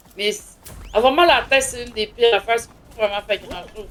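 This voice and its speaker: With a Quebec accent, the speaker talks at a very fast pace with lively intonation over noticeable background noise. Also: woman. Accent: Québécois French. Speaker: gaming streamer. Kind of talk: casual chat. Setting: live stream. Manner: loud.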